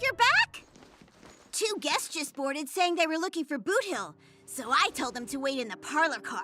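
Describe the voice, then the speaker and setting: A put-on character voice pitched high. Faint music plays in the background. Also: moderate pace. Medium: video game. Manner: fussy, proper.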